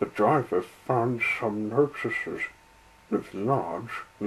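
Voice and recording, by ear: Someone is reading aloud in a natural voice. That is all the clip offers.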